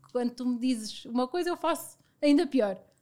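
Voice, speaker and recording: This woman has a high-pitched voice with a dark, mellow tone. She talks at a fairly quick pace. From Portugal, Viseu. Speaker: business partner. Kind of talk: casual chat.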